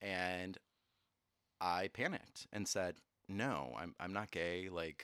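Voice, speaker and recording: A man speaks at a very deep, low pitch in a bright, sharp tone. The recording is very clean with a silent background and a dry, close sound with no echo. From moved all over (Navy family). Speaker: television and film producer. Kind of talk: casual chat. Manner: animated.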